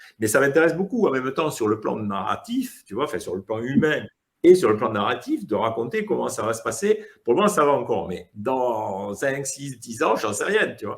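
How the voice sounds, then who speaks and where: At a moderate pace, a man with a medium-pitched voice swings very widely in pitch. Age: 60s. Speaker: comic book author. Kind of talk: casual interview. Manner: hesitant, many fillers.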